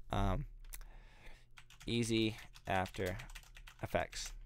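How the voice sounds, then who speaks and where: A man talks. The background is silent and the recording very clean. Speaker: YouTube creator. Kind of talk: live stream Q&A. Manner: fast; casual, many filler words.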